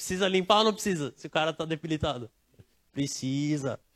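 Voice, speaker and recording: Recorded dry and close with no echo, a man speaks at a moderate pace with ordinary pitch variation. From Brazil, not Bahia. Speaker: preacher. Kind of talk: sermon. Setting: church service, livestreamed. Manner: casual, conversational.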